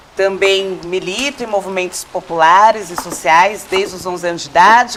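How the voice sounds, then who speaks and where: Medium pitch from a woman, with noticeable background noise behind it. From Cajamar, São Paulo state, Brazil. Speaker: social movement activist. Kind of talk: casual chat.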